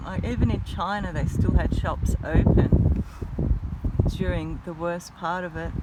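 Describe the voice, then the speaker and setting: An Australian accent at a fairly slow pace, with audible room echo and noticeable background noise. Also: woman. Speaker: vlogger. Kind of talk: casual vlog rant. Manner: mumbles sometimes; animated.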